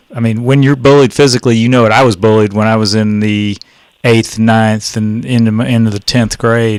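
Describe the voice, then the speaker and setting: Speaking in a Texan accent, a man keeps a monotone, flat intonation at a medium pitch and moderate pace. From Texas, Dallas. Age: 60s. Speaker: radio host. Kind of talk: casual chat.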